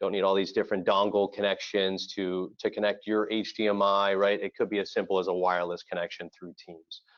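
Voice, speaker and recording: A man with a slight Floridian accent talks at a fairly quick pace with hardly any pauses. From Florida. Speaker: audiovisual integration company representative. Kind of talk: webinar presentation.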